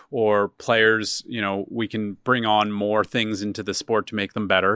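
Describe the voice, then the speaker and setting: In an American accent, a man talks at a moderate pace with a fairly low pitch and an ordinary speaking voice. The sound is dry and close with no echo, over a quiet background. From Philadelphia, Pennsylvania. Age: 30s. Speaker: media startup CEO. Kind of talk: interview.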